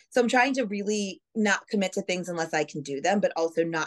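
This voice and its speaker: A woman talks at a very fast pace with an American accent. Her intonation is lively. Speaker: TV news anchor and reporter. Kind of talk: casual interview chat. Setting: video call.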